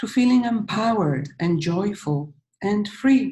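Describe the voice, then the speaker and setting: With a Polish accent, a woman speaks in a dark, mellow, somewhat breathy tone and lively intonation. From Poland. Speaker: healing coach. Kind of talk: webinar presentation.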